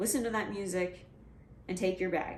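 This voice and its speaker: Speech at a moderate pace with ordinary pitch variation, plus audible room echo and noticeable background noise. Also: woman. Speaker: vlogger, adaptive athlete. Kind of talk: casual vlog advice talk. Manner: halting, jumbled.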